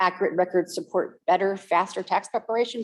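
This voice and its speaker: A woman talks at a fairly quick pace. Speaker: accountant, workshop presenter. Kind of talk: workshop presentation. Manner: fast.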